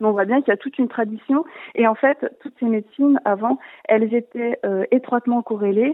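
Speaking at a moderate pace, a woman uses a plain, everyday voice with a fairly high pitch and fairly even intonation. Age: 30s. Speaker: naturopath. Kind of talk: call-in explanation.

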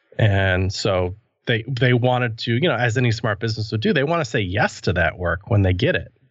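A man has an ordinary speaking voice, talking at a moderate pace with a medium pitch and ordinary pitch variation. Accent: American. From US Midwest (near Madison, Wisconsin). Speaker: web developer and podcaster. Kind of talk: casual interview.

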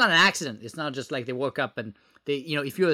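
A man with a French accent, fairly high in pitch and bright, sharp in tone, on a very clean, dry, close recording with no echo and a silent background. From France. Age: 30s. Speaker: former government software executive and entrepreneur. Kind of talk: podcast interview. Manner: halting, many filler words.

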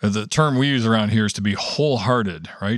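With a Canadian accent, a man uses a normal speaking voice at a fairly low pitch with ordinary pitch variation. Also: very clean recording, silent background. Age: 50s. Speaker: prayer ministry director. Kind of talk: casual chat.

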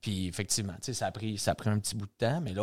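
With a Quebec accent, a man speaks at a fairly low pitch with ordinary pitch variation on a very clean recording with a silent background. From Quebec, Saint-Jean-sur-Richelieu. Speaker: bar owner. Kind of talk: casual interview chat.

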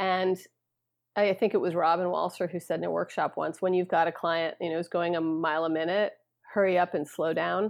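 Her voice fairly low, a woman talks in a flat monotone. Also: fairly quick pace. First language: not English. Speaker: therapist and behavioral science board member. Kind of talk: casual interview chat.

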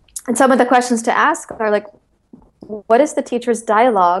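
Her pitch shifts with ordinary variation. The woman uses a normal speaking voice. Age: 40s. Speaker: author and yoga-based eating disorder recovery coach. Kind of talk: interview.

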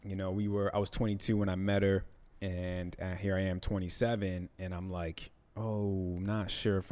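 A man's very deep, low voice at a moderate pace, on a very clean recording with a silent background. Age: 30s. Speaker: podcast co-host. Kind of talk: casual chat.

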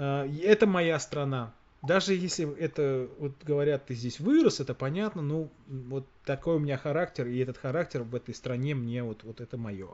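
A man talks at a moderate pace in a fairly high pitch with ordinary pitch variation. He has a normal speaking voice. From Russia. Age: 40s. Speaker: podcast host. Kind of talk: casual chat.

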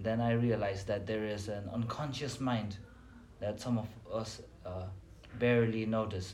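A man at medium pitch with monotone, flat intonation and a fairly slow pace, in audible room echo. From Nepal. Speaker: psychology student. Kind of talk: casual chat.

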